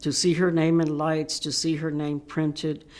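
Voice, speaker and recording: Delivered in an American accent, the voice has a dark, mellow tone and monotone, flat intonation. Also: woman. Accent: Mexican American Texan English. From Texas, San Antonio. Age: 70s. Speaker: civil rights activist. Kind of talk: interview testimony. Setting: virtual panel recording.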